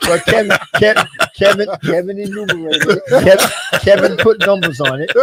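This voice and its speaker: A man with an American accent and a high pitch speaks at a moderate pace with ordinary pitch variation, noticeable background noise behind him. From US South, Aiken County, South Carolina. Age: 70s. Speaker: former basketball coach and manager. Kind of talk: interview. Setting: radio/streamed talk show.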